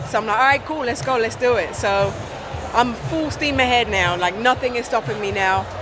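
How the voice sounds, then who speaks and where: A woman in an American accent, fairly high in pitch, ordinary pitch variation, moderate pace, with noticeable background noise and audible room echo. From UK. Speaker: gospel singer. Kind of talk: casual interview. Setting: trade show stand.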